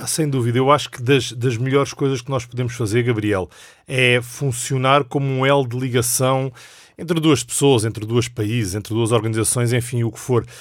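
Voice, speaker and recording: A man speaks in an unremarkable speaking voice at medium pitch and a moderate pace, with fairly even intonation. The recording is very clean, with a silent background. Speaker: executive director of a Bible society. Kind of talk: casual chat. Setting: studio.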